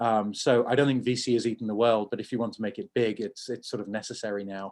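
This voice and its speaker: With a southern English accent, the speaker rushes along at a very fast pace in a monotone, flat intonation. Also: man. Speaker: tech entrepreneur. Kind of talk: Q&A after a talk. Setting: video call.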